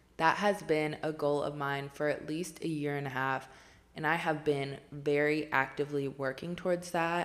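At a moderate pace, a woman speaks with a very deep, low pitch and monotone, flat intonation. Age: 20s. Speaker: podcast host. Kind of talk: solo monologue.

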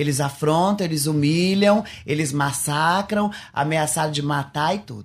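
Spoken at a moderate pace, the voice comes through on a very clean recording with a silent background. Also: man. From Paraná, Brazil. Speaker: former travesti, convert giving testimony. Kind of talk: testimony.

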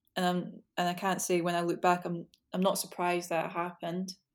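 Medium in pitch, a woman's voice moves at a moderate pace. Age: 20s. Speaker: psychology graduate with social anxiety. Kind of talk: casual chat.

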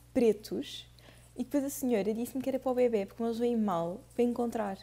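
A woman with a European Portuguese accent speaks fairly quickly at a fairly high pitch, her tone dark and mellow, her intonation fairly even. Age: 20s. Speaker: podcast co-host. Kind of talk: casual chat.

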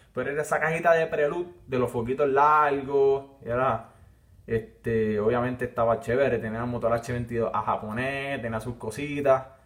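Medium-pitched male speech at a moderate pace, fairly even in intonation, over noticeable background noise. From Puerto Rico, Villalba. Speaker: podcast host. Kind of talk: casual monologue. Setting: live stream while recording.

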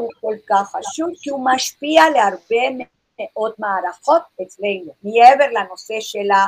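A woman talks at a fairly slow pace with a fairly high pitch and lively intonation. The sound is dry and close, with no echo. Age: 60s. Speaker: naturopath. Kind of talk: lecture.

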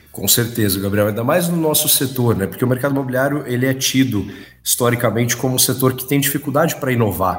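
Talking at a very fast pace, a man uses a medium pitch with ordinary variation and a somewhat breathy sound. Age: 20s. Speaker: construction company executive. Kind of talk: business interview.

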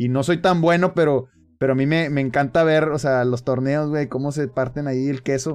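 This man has an ordinary speaking voice with a fairly high pitch. His intonation is fairly even and his pace moderate. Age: 30s. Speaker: streamer and podcast host. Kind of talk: casual chat.

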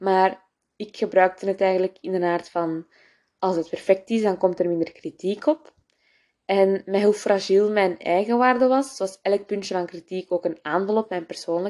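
A woman speaks with a Flemish accent at a moderate pace. Her medium-pitched voice has a dark, mellow tone and ordinary pitch variation. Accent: Flemish Dutch. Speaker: podcast host. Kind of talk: casual personal monologue. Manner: code-switching with English, many fillers.

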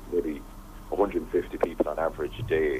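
The speaker talks at a fairly slow pace with an Irish accent. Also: man. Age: 20s. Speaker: radio presenter and former teacher, humanitarian volunteer. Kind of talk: radio interview.

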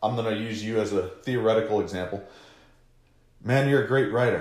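In a room with audible echo, a man talks at a fairly quick pace and medium pitch, somewhat breathy, with fairly even intonation. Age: 30s. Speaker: social media marketing podcast host. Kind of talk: casual chat.

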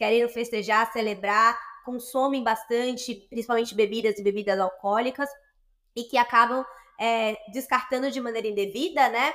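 A woman speaks in an unremarkable speaking voice at a fairly high pitch and a moderate pace. Her intonation stays fairly even. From Bahia, Brazil (Salvador). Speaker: social entrepreneur, startup partner. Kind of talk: interview conversation.

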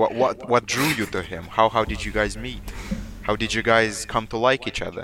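With music in the background, a man is speaking. He keeps a moderate pace. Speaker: podcast co-host. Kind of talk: casual banter, mixed Romanian and English.

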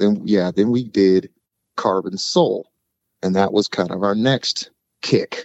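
A man with an unremarkable speaking voice speaks at a fairly slow pace in a fairly low pitch with ordinary pitch variation. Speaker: singer-songwriter. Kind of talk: casual interview chat.

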